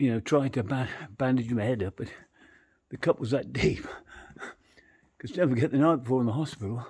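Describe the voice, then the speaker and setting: A man speaks at a fairly quick pace and a medium pitch with ordinary variation. He leaves long, frequent pauses. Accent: English. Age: 60s. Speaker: travel vlogger. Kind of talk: casual vlog narration. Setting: outdoors on a street at night. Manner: rambling, chatty.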